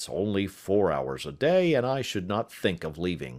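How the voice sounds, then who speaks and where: Using a raspy, put-on character voice, a man swings his fairly low pitch very widely at a moderate pace. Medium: read story.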